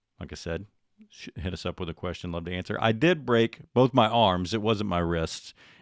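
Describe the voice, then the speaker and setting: In a very clean recording with a silent background and a dry, close sound without echo, a man with an American accent and a very deep, low pitch speaks at a moderate pace, with ordinary pitch variation and big swings in loudness. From Texas. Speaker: podcast host. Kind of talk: casual chat. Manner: sounds like a broadcaster.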